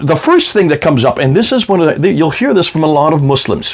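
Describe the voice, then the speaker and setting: A man's fairly high voice with very wide pitch swings, against noticeable background noise. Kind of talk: video lecture with slides. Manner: conversational, some stammering.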